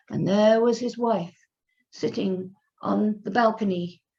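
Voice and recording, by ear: Reading aloud in a natural voice, the speaker uses ordinary pitch variation against a quiet background.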